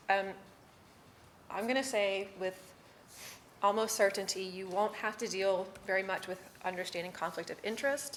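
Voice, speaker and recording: Noticeable background noise accompanies a woman speaking at medium pitch. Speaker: city staff presenter training board members. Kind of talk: training presentation. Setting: public board meeting. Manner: fast.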